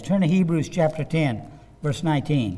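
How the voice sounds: A man speaks at a fairly slow pace with lively intonation. His pitch is fairly high, and his tone is dark and mellow.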